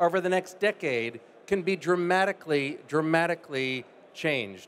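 Over light background noise, a man with an American accent talks in a high pitch with lively intonation. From United States. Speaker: life science investor. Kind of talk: panel discussion. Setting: stage with audience. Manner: fluent, polished. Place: stage. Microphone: handheld.

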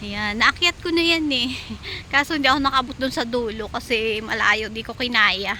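Noticeable background noise sits behind a woman with a high pitch. She speaks at a moderate pace with ordinary pitch variation. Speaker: overseas worker vlogger. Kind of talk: casual vlog walkthrough. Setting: outdoors in a park.

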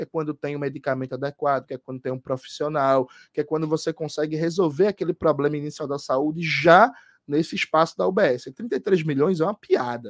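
A man at a fairly quick pace, fairly high in pitch with ordinary pitch variation, in a dry sound with no echo and a quiet background. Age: 30s. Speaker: gubernatorial candidate; candidate. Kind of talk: radio interview. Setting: studio. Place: home room.

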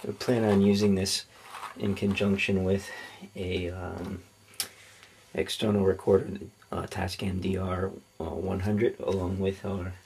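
The pace is fairly slow, with long, frequent pauses and light background noise. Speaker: product reviewer. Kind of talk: unboxing commentary. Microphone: camera far.

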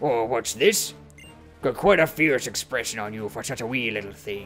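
A man does a raspy, put-on character voice at medium pitch and a moderate pace. Clear music plays in the background. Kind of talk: reading game dialogue aloud in a voice.

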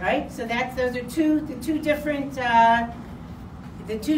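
A woman at a fairly quick pace and high pitch, with noticeable background noise. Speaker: religious teacher. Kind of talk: sermon. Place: hall. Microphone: camera far.

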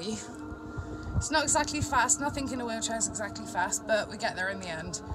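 A woman talks at a moderate pace while clear music plays in the background. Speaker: wheelchair user vlogger. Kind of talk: casual vlog chat. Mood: cheerful, a bit hot. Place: car. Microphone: phone near.

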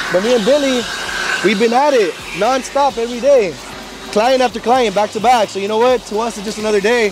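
Noticeable background noise surrounds a man with a high voice who speaks fairly quickly with fairly even intonation, the sound dry with no echo. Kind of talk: casual vlog chat. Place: street. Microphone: lapel.

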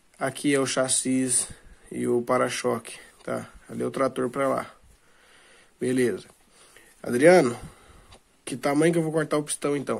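A man speaks with a Brazilian accent and fairly even intonation. His delivery has long, frequent pauses. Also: medium pitch for a man, moderate pace. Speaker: DIY video maker. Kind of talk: tutorial. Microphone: phone near.

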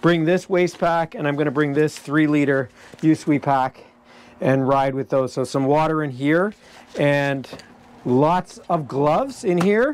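Delivered at a fairly slow pace, the speech has ordinary pitch variation. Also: man. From Ontario, Canada. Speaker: dirt bike racer and video creator. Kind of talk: casual vlog narration. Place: garage.

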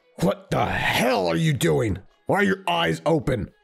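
A man uses a raspy, put-on character voice at a medium pitch. He talks at a moderate pace over music in the background. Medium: role play.

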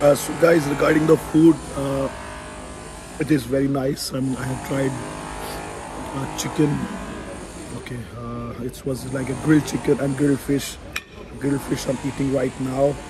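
A man at a moderate pace, with long, frequent pauses and music in the background. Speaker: travel vlogger. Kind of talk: casual vlog chat. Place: cafe. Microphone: phone near.

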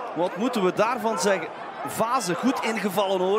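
Over noticeable background noise, a man speaks at a fairly slow pace in a high voice with ordinary pitch variation and an animated, excited tone. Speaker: football commentator. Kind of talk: live football commentary, play-by-play. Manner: animated, excited at goals ("De goal!"); fluent with some hesitations, fillers.

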